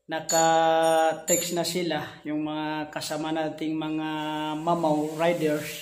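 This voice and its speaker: Speech comes at a very slow pace with audible room echo. Light background noise sits underneath. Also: man. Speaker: amateur cyclist vlogger. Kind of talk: casual vlog chat. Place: home room. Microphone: phone near.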